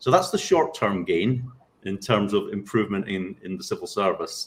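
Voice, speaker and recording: Talking at a fairly quick pace, a man speaks with a Scottish accent. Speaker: civil service training director. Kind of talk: panel discussion.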